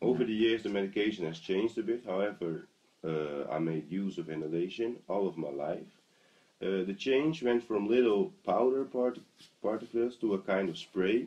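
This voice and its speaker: A man with a Dutch accent, fairly low in pitch, at a moderate pace with lively intonation. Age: 20s. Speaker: asthma patient interviewee. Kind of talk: interview. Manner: halting.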